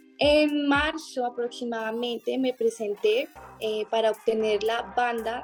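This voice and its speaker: With noticeable background noise behind her, a woman speaks in a high pitch. Her pitch varies in an ordinary way. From Colombia, Bogotá. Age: 20s. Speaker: beauty queen. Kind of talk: interview testimony.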